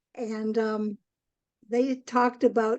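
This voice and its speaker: In a Canadian accent, a woman speaks with ordinary pitch variation. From Canada, northwestern Ontario. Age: 80s. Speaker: spiritual author. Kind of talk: interview. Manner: many filler ums.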